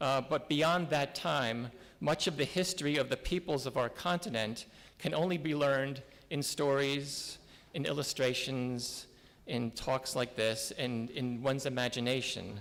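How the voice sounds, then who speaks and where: A man with a New Jersey accent speaks at a fairly high pitch with ordinary pitch variation. His loudness is very even, and there is noticeable background noise. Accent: New Jersey American English. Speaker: visiting town official at a conference. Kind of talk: conference address. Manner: hesitant, many fillers.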